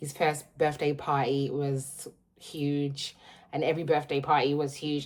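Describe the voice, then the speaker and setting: With a London accent, a woman speaks at a moderate pace in a very deep, low pitch. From London, South London. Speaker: vlogger. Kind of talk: casual vlog chat. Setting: at home, in utility room.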